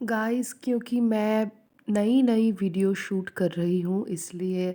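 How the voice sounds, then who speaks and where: A woman's dark, mellow voice with a non-native accent and ordinary pitch variation. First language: not Hindi (speaking Hindi). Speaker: student vlogger. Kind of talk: study vlog narration. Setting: at home. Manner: hesitant, with fillers.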